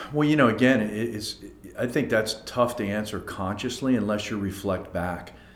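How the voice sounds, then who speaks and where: A man speaks with an American accent at a fairly low pitch. Room echo is audible. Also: ordinary pitch variation, moderate pace. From Philadelphia suburbs, Pennsylvania. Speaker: company team member. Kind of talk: podcast interview.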